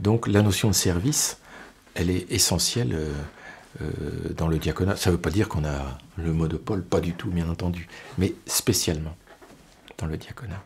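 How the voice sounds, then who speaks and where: A man with very deep, low pitch and ordinary pitch variation talks at a moderate pace, leaving long, frequent pauses. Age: 60s. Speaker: deacon, HR manager. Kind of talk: testimony interview. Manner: hesitant, repeats words.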